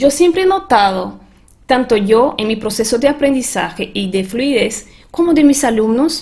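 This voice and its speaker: A woman speaks with a Portuguese accent at a high pitch. Her intonation is lively and her pace fairly slow. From Brazil. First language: Portuguese (speaking Spanish). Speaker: transformation coach and language teacher. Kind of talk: webinar presentation.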